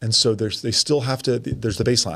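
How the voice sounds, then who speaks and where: Speaking at a fairly quick pace, a man keeps a medium pitch. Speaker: high school basketball coach. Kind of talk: casual chat. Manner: loud.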